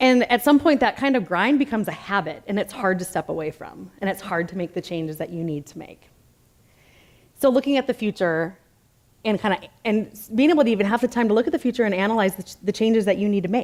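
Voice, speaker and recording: A woman with an American accent, medium pitch, lively intonation, a very fast pace and big swings in loudness. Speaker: conference speaker, design business owner. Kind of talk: conference talk. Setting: stage with audience. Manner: gets loud when excited; casual, lots of filler words.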